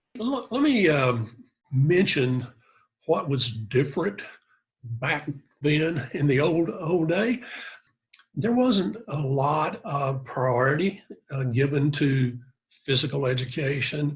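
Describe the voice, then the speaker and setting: A man speaks very slowly in a somewhat breathy, fairly high voice. His intonation is lively, broken by long, frequent pauses. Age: 70s. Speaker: fitness test creator. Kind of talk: interview. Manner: halting.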